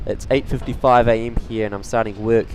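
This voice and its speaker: In a relaxed tone and at a fairly quick pace, a man speaks over noticeable background noise. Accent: New Zealand. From New Zealand, Tauranga. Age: young. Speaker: plane spotting live streamer. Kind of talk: live stream commentary, chatting with viewers. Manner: casual, relaxed.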